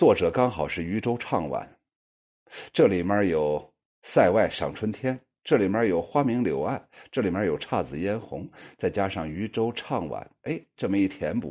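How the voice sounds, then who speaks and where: The man's voice sits at a fairly low pitch and makes very wide pitch swings. He talks at a fairly slow pace. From northern Shaanxi. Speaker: poetry group host and commentator. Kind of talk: monologue commentary on members' poems. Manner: many filler particles and hesitations.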